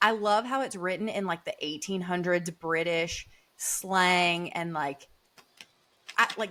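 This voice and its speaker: With a Southern US accent, a woman speaks at a medium pitch and a fairly slow pace, with ordinary pitch variation. Her tone is animated, bright and sharp. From US South. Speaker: podcast co-host, healthcare worker. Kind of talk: casual chat.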